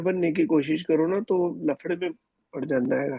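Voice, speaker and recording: A man with a Punjabi accent speaks in a high-pitched voice with a dark, mellow tone and ordinary pitch variation, the sound dry and close with no echo. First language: Punjabi (speaking Hindi). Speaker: student. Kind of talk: class question.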